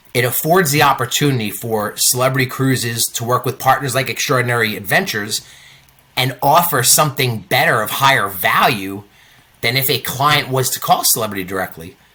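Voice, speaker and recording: In an American accent, a man talks at a fairly quick pace with a medium pitch, ordinary pitch variation and a bright, sharp tone. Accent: New York, comes in and out. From New York. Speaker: cruise line sales manager. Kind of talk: interview. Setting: on a cruise ship.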